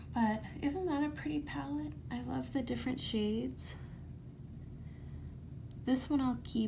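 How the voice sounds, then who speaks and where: Soft-spoken and gentle in tone, a woman speaks at a fairly slow pace with long, frequent pauses. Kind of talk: ASMR makeup bag and purge, casual talk to camera. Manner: soft-spoken, gentle.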